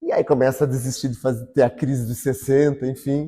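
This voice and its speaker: A man's somewhat breathy voice at medium pitch, dark and mellow in tone, at a fairly quick pace, dry and close with no echo, on a very clean recording with a silent background. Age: 60s. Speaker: interviewee in documentary. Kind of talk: interview testimony.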